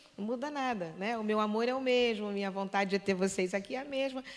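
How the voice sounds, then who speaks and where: Speaking at a fairly quick pace, a woman with a Brazilian accent uses a medium pitch. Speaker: performer. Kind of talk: casual chat. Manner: halting.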